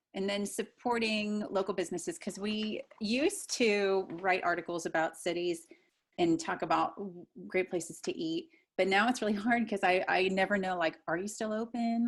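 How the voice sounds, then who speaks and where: A woman with a plain, everyday voice and an American accent speaks at a medium pitch with ordinary pitch variation, recorded very cleanly over a silent background. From US Midwest (pop region). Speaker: podcast host. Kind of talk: interview.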